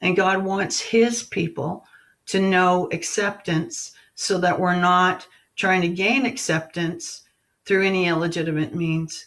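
At a fairly slow pace, a woman of medium pitch talks with fairly even intonation. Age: 50s. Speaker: lay preacher. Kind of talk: sermon. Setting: group call.

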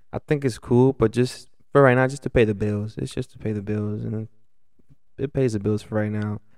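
With an American accent and a normal speaking voice, a man talks at a fairly quick pace in a fairly low pitch, his intonation fairly even. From Los Angeles, California. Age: 20s. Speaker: restaurant server. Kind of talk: casual chat.

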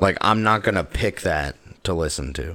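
Vocal fry and very wide pitch swings from a man. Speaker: podcast co-host. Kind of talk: casual chat.

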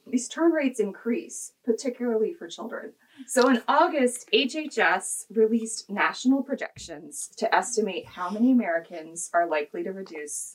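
With a Midwestern US accent, the speaker moves at a moderate pace with hardly any pauses. Pitch swings very widely and loudness rises and falls a lot. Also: woman, fairly high pitch for a woman. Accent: US Midwest. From Kansas. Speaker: health policy advocate. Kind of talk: interview.

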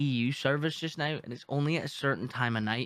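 The man's voice has a fairly high pitch. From Newfoundland, Canada. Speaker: gaming streamer. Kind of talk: casual chat.

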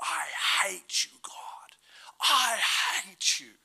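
A bellowing, raspy, put-on character voice that sounds female. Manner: roaring, hateful.

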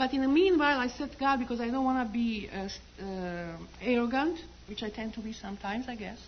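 A woman talks at a very fast pace. Her fairly high voice has lively intonation. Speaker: church member giving testimony. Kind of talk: testimony. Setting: church. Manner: halting.

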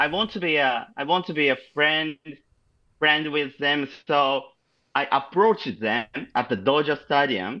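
In a Japanese accent, a man speaks at a fairly slow pace and fairly high pitch, with a bright, sharp tone, lively intonation, and a very clean recording with a silent background. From Japan, Shizuoka. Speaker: podcast guest, amateur softball player. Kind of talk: casual chat. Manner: halting.

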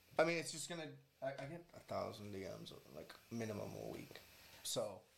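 Room echo can be heard as this man talks fairly fast. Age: 20s. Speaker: social media personality. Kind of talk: casual chat. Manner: animated.

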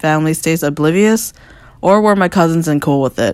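With an American accent, a woman talks in an unremarkable speaking voice, her fairly low pitch showing ordinary variation at a moderate pace. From US, Northern Virginia. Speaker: visual artist. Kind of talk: reading aloud.

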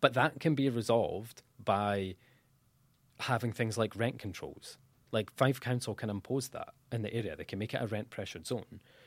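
Here a man speaks with a Dundee accent at medium pitch and a moderate pace. His pitch varies in an ordinary way, and the recording is very clean with a silent background. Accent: Scottish (Dundee). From Scotland, Dundee. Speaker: student union president. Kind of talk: podcast interview.

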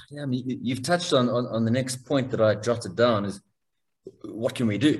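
A somewhat breathy man's voice, medium in pitch, with ordinary pitch variation and a moderate pace. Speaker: podcast host. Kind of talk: interview. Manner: halting, many repetitions.

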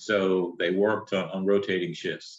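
A man with a North Carolina accent, fairly low in pitch, at a moderate pace. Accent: Southern US (North Carolina). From North Carolina (Shelby, near Charlotte). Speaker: businessman and entrepreneur. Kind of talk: interview conversation.

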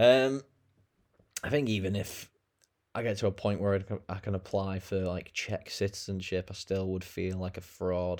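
The speaker has a British accent and a moderate pace, with fairly even intonation. Long pauses come often. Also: man, fairly low pitch for a man. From England. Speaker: podcaster and online English teacher. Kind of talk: casual solo monologue. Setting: alone in bedroom recording on laptop.

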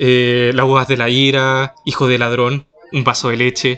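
A man is talking. He has a Chilean accent. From Chile, Chiloé. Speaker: podcast co-host. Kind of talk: casual chat. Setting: in a shop.

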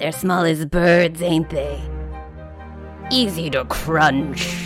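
A man's put-on character voice, fairly high in pitch and very slow in pace, with clear music in the background. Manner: wicked, gleeful, chuckling.

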